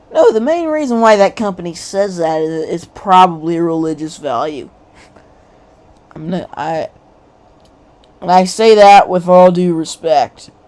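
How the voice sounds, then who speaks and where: With an American accent, a woman speaks with long, frequent pauses and big swings in loudness. Noticeable background noise runs underneath. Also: ordinary pitch variation. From United States. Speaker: political commentary YouTuber. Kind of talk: casual livestream commentary. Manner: animated.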